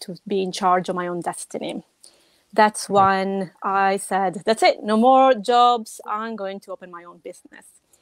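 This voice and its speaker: A woman with a strong Italian accent, recorded dry and close with no echo. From Italy. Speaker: web designer. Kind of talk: podcast interview. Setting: live video stream.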